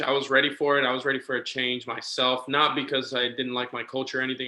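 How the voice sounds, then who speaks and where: A man speaks at a medium pitch. He has a slight Puerto Rican accent. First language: Spanish. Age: 20s. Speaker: minor league baseball manager. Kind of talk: casual chat.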